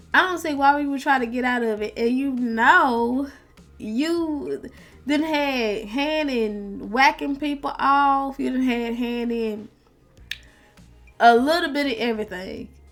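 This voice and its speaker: Music plays in the background as a woman talks at a fairly slow pace. Her pitch is high, with ordinary variation. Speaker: online commentator. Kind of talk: casual commentary.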